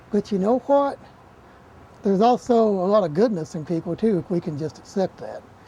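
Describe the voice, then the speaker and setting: Speaking at a moderate pace with an Appalachian accent, this voice leaves long, frequent pauses. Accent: Appalachian Southern US. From Eastern Kentucky, Appalachia. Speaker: television horror host. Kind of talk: documentary interview.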